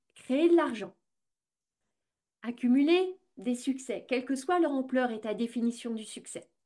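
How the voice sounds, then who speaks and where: Speaking at a very slow pace, a woman uses a high pitch and lively intonation, her tone dark and mellow. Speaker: business coach and podcast host. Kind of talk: podcast monologue.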